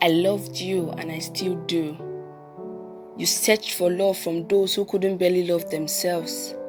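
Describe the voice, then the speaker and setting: With music in the background, a woman talks at a fairly low pitch and a fairly slow pace, her intonation fairly even and her pauses long and frequent. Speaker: spoken word poet. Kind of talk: spoken word poetry performance.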